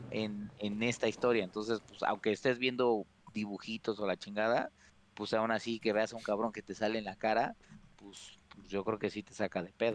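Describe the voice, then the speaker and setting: Fairly low-pitched man in a Mexican accent, monotone and flat, at a moderate pace. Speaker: video game podcast host. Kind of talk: casual chat.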